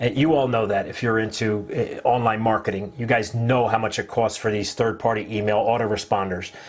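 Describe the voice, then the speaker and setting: A man talks at a moderate pace with a New Jersey accent. His medium-pitched voice stays monotone and flat. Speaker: online marketing livestream host. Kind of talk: casual live-stream chat.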